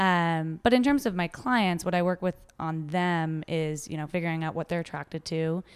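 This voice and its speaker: A woman speaks at a moderate pace with hardly any pauses. Her pitch is fairly low, with ordinary variation. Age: 20s. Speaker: relationship and dating coach. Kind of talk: casual chat. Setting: studio in a loud warehouse.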